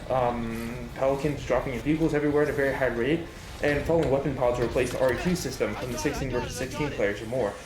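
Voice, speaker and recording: Noticeable background noise runs beneath very fast talking. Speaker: gaming youtuber. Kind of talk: scripted commentary. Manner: halting.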